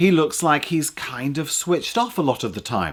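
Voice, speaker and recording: The speaker is a man with a fairly high pitch. The recording is very clean, with a silent background. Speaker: public speaking coach. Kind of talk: tutorial. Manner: animated.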